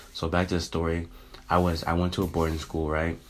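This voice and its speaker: A man speaks in an American accent with a very deep, low voice. His intonation stays monotone and flat. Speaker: YouTuber. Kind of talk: casual vlog monologue. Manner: casual, filler-heavy.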